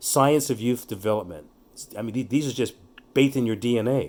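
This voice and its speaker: In a very clean recording with a silent background, a man speaks in a normal speaking voice at a medium pitch with ordinary pitch variation. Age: 60s. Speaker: youth development speaker. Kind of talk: casual chat.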